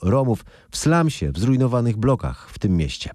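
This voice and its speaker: A man's dark, mellow tone at a fairly quick pace, with very wide pitch swings, on a very clean recording with a silent background. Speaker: news podcast host. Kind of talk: formal newsreading, studio-style daily news summary. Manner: formal, brisk, even newsreader delivery.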